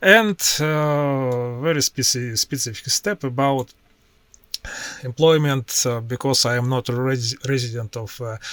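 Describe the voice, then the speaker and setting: Speaking at a fairly slow pace in a Russian accent, a man uses a medium pitch with ordinary pitch variation, and the sound is dry and close with no echo. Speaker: IT professional and tech YouTuber. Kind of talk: screen-share tutorial. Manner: halting, with many filler sounds.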